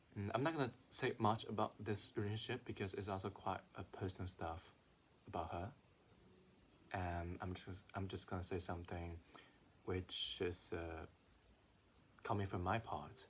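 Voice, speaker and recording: Somewhat breathy and with a non-native accent, a man speaks at a fairly low pitch with long, frequent pauses. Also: ordinary pitch variation, moderate pace. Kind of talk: casual talk to camera.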